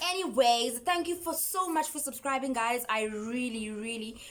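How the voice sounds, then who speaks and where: Against noticeable background noise, a woman talks in an animated tone at a fairly high pitch, with very wide pitch swings. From South Africa. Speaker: YouTuber. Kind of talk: storytime vlog.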